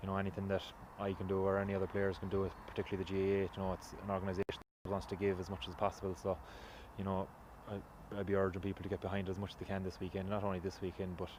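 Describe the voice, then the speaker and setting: In a western Irish accent, a man talks very fast with a fairly low pitch and flat, monotone intonation. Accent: Irish (west of Ireland). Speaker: Gaelic football player. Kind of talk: interview.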